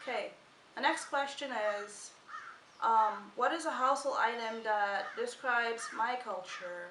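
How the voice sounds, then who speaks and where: At a fairly slow pace and with ordinary pitch variation, the voice comes through with audible room echo. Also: woman, high pitch for a woman. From Guyana, West Coast countryside. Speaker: vlogger. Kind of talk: casual chat.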